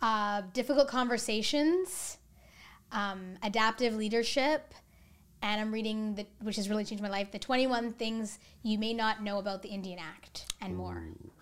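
On a very clean recording with a silent background, a woman with a Canadian accent and a plain, everyday voice speaks at a fairly slow pace with a fairly high pitch and ordinary pitch variation. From Canada, British Columbia (Coquitlam). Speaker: educator and equity coach. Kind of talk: casual interview.

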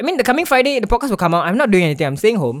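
A man with a Singaporean accent speaks with very wide pitch swings. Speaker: podcast host. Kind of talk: casual chat. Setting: online call recording.

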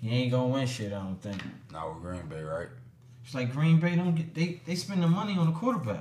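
Somewhat breathy, a man talks at a fairly quick pace with an American accent and very wide swings in pitch. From Trenton, New Jersey. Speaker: rapper. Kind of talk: casual chat. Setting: studio.

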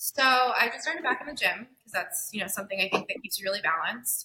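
A woman speaks with a bright, sharp tone. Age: 20s. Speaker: marketing agency founder. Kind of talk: casual interview.

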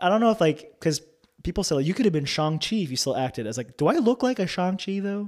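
A man with a slight New York accent speaks at a high pitch and a very fast pace, with very wide pitch swings. The recording is very clean, with a silent background. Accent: New York area, slight. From North New Jersey. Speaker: campus pastor and former actor. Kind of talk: interview, testimony.

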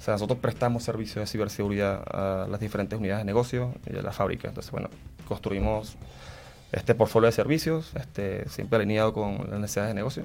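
A man speaks very fast at a fairly low pitch. His pitch varies in an ordinary way. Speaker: corporate cybersecurity manager. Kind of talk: interview.

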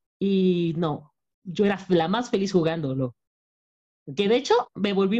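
Medium pitch from a woman, dark and mellow in tone. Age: 30s. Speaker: podcast co-host. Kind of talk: casual chat.

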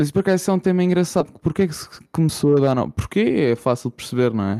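With a Lisbon accent, a man talks in a dark, mellow tone with lively intonation. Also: dry, close sound with no echo. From Portugal, Lisbon. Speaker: podcast co-host. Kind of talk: casual chat.

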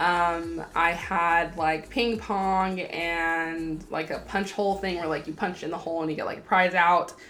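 A woman's fairly low-pitched voice with fairly even intonation and audible room echo. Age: 20s. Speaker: podcast host, college student. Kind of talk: casual solo podcast talk.

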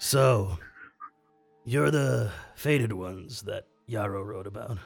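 Putting on a character voice, a man talks raspy and fairly low-pitched at a fairly slow pace with lively intonation, faint music playing behind him. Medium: actual play. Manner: dry, clipped.

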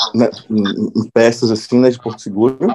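A man's tone is dark and mellow. He keeps a moderate pace. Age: 30s. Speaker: podcast host and screenwriter. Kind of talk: casual chat.

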